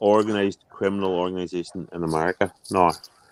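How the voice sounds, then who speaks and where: A man speaks in a Northern Irish accent. His pitch sits fairly low. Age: 40s. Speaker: chat participant. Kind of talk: heated casual chat. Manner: animated.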